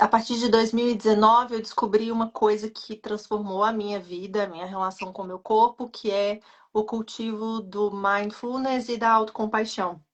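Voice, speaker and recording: A woman with a Brazilian accent speaks at a fairly high pitch and a fairly slow pace, her intonation monotone and flat. Her loudness swings widely. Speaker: nutritionist. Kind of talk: live stream interview.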